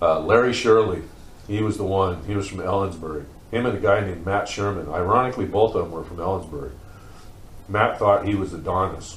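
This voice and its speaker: At a fairly quick pace, a man with an American accent speaks in a fairly low pitch with ordinary pitch variation, and there is audible room echo. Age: 50s. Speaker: former group home resident. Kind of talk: interview testimony. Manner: casual, halting with fillers.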